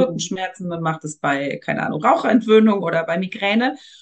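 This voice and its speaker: Speaking at a fairly quick pace, a woman uses a normal speaking voice with ordinary pitch variation. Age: 40s. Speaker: energy work practitioner. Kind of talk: casual interview. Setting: podcast interview.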